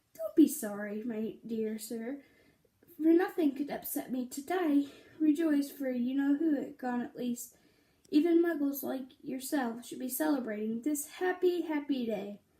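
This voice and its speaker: A woman's squeaky put-on character voice, high in pitch, at a moderate pace with ordinary pitch variation. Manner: jubilant.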